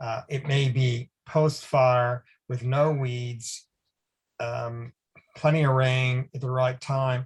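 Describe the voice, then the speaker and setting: The speaker is a man with an American accent. There is some breathiness in his voice. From US Northeast, Boston. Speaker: academic researcher. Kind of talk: webinar Q&A answer.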